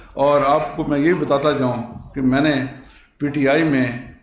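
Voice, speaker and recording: Audible room echo and noticeable background noise surround the recording. A man speaks with a fairly high pitch. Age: 60s. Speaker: local party politician and businessman. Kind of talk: press conference statement. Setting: press conference. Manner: halting, some stammering.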